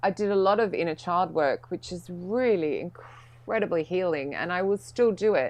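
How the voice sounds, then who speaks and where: A woman talks at a moderate pace and medium pitch, with hardly any pauses. Her pitch varies in an ordinary way. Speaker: speaker and coach on workplace emotion. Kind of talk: interview testimony. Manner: loud.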